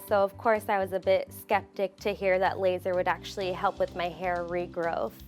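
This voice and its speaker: A woman with a General American accent speaks at a moderate pace over music in the background. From Phoenix, Arizona. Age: 20s. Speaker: hair loss patient. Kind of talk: testimonial interview answer.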